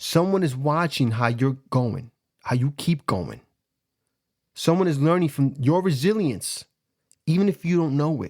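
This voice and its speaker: In a Bronx accent, a man with a fairly high pitch sounds animated, his lively intonation broken by long, frequent pauses on a very clean recording with a silent background. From New York City, the Bronx. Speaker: life coach and podcast host. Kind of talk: motivational monologue.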